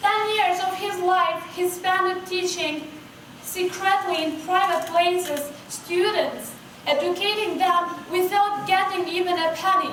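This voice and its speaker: A woman with a non-native accent speaks at an extremely high pitch in a monotone, flat delivery. Her pace is fairly slow, and there is audible room echo. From Kosovo. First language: Albanian. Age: 20s. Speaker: astronomy outreach founder and student. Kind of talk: keynote speech. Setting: stage with audience.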